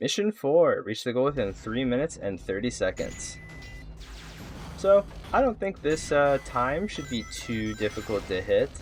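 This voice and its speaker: With music in the background, the speech moves at a moderate pace. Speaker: gaming video creator. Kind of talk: gameplay guide commentary. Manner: casual, conversational.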